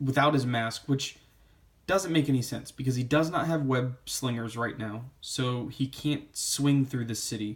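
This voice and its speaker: A somewhat breathy man's voice at medium pitch, with ordinary pitch variation and a fairly slow pace. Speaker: comic book reviewer. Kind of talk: casual review monologue.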